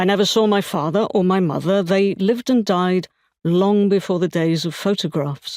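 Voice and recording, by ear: Against a quiet backdrop, the text is read out in a natural voice.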